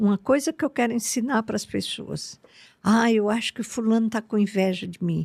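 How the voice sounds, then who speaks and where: Her voice is fairly high and somewhat breathy. The woman's sound is dry and close, with no echo. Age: 80s+. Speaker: spiritual teacher. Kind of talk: podcast interview.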